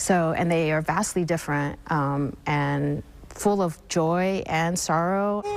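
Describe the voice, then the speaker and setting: Over noticeable background noise, a woman speaks at a very slow pace in a fairly low pitch. Her loudness stays very even and her intonation is fairly even. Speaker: film festival co-director. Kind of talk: TV news interview answer.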